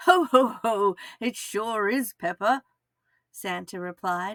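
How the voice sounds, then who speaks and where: A raised, projected voice comes through with an Australian accent. Its tone is bright and sharp. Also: woman, very clean recording, silent background. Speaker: kindergarten teacher. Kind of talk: children's story read-aloud.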